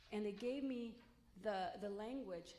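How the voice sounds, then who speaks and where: A woman speaks at a moderate pace, with audible room echo. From Los Angeles, US (came from Mexico at 3). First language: Spanish. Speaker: college president candidate. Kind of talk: public forum talk.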